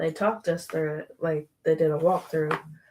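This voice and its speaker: A soft-spoken woman talks at a moderate pace. Her pitch is very deep and low. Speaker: podcast co-host. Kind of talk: casual chat. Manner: quiet.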